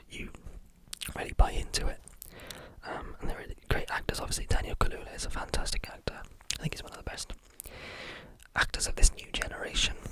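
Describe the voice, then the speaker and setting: Whispering at a very fast pace, the speaker leaves long, frequent pauses over noticeable background noise. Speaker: ASMR film reviewer. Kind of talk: ASMR film review talk. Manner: whispered; relaxed, calm.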